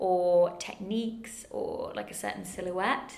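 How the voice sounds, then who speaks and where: A woman speaks with a northern English accent. Room echo is audible. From northern England. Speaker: museum curator. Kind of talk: casual interview.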